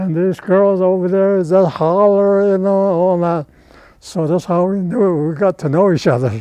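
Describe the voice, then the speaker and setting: A man's dark, mellow tone, high in pitch, fairly slow and fairly even in intonation. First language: Navajo. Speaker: war veteran. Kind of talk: interview storytelling. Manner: halting.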